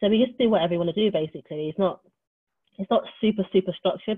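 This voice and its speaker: Talking at a very fast pace, a woman with a West Country accent uses ordinary pitch variation. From Wiltshire, England. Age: 30s. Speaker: LGBT community worker and co-founder of a social space. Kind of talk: casual interview chat.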